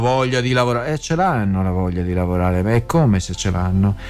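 The speaker is a man with a Venetian accent. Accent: Venetian Italian. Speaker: radio host. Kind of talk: radio news segment.

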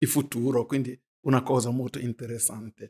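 A man talks at a moderate pace in a medium pitch, with a dark, mellow tone and a somewhat breathy quality. The sound is dry and close, with no echo. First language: not Italian (speaking Italian). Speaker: pastor. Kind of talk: religious discussion.

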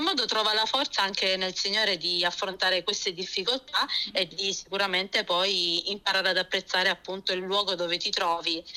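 Bright and sharp in tone, the voice moves at a moderate pace. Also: woman. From born in Germany, Lecce family (Apulia), moved to Florence at 17. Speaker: pastor's wife and early-childhood educator. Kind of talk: radio interview testimony.

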